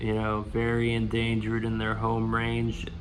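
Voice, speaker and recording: A man speaks at a fairly slow pace. Audible room echo is present. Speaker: reptile breeder. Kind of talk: casual vlog. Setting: outdoors. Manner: quiet.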